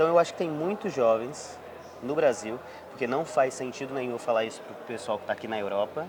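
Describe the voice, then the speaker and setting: With an ordinary speaking voice, a man talks fairly quickly at a medium pitch. His intonation is lively, and his loudness swings a lot. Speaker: podcast host. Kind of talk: casual interview.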